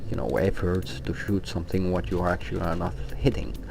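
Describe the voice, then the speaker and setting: With a non-native accent, a man speaks fairly quickly in a very deep, low voice, with audible room echo and noticeable background noise. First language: not English. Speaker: gaming guild officer, tutorial maker. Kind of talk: tutorial. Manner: hesitant, many fillers.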